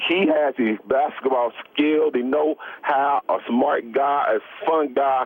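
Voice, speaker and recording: Ordinary pitch variation in a fairly high male voice, with noticeable background noise behind it. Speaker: former professional basketball player. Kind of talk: radio interview answer. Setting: phone line.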